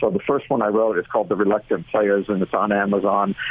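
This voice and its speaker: At a fairly quick pace, a man with an American accent talks in a normal speaking voice, pitched fairly low. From Orange County, California. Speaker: college sports enforcement official. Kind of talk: radio interview.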